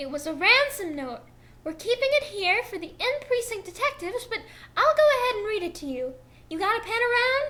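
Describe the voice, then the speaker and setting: Putting on a squeaky character voice, a woman talks at a fairly quick pace with extremely high pitch and very wide pitch swings. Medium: read story.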